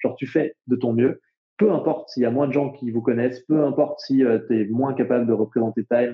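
Fairly even in intonation, a man talks at a moderate pace and medium pitch. His is a plain, everyday voice. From France, Jura. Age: 20s. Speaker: entrepreneur, climate startup co-founder. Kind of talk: casual interview. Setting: remote recording. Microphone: poor remote audio quality.

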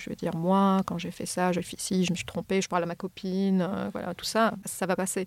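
On a very clean recording with a silent background, a woman speaks fairly quickly at a medium pitch with fairly even intonation. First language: not French (speaking French). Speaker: neuroscientist. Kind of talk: interview.

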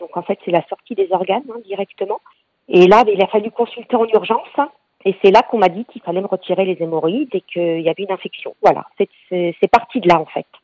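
Speaking at a fairly quick pace, a woman has a normal speaking voice with a medium pitch. Her pitch variation is ordinary. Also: big swings in loudness. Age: 40s. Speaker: cancer patient. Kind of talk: testimony.

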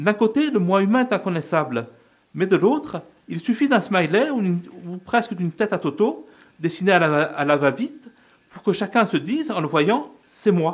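A man with a high pitch makes very wide pitch swings. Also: moderate pace. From Corsica. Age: 40s. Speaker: first-time radio columnist, writer. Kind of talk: radio column.

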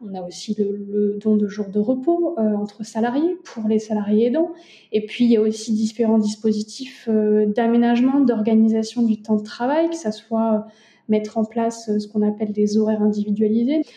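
Somewhat breathy and dark, mellow in tone, a woman speaks at a fairly high pitch and moderate pace with ordinary pitch variation. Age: 30s. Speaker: lawyer and family caregiver. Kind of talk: interview testimony.

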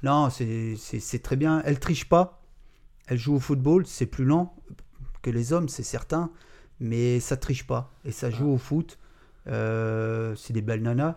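A man's medium-pitched voice, very slow, with ordinary pitch variation and long, frequent pauses. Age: 50s. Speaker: job-integration supervisor, football fan. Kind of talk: casual podcast interview.

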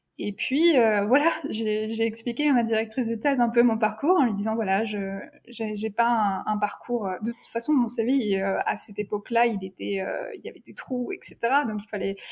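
With ordinary pitch variation, a woman speaks at a moderate pace and a fairly high pitch. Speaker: doctoral researcher in neuroeducation. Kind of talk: interview conversation. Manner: hesitant, many fillers and repetitions.

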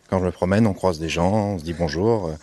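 Varying his pitch in an ordinary way, the man speaks in a very deep, low voice. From France, Samois-sur-Seine. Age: 20s. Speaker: musician. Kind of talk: interview. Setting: outdoors.

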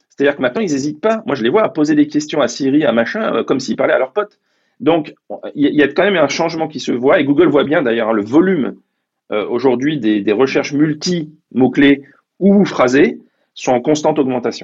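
Here is a man with an ordinary speaking voice, fairly high in pitch, talking at a fairly quick pace. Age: 50s. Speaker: tech executive. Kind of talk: interview.

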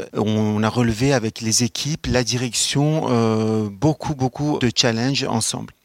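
In an unremarkable speaking voice, a man of medium pitch talks fairly slowly with fairly even intonation, very even loudness and hardly any pauses, the sound dry and close with no echo. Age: 30s. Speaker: social security executive. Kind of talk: career testimony.

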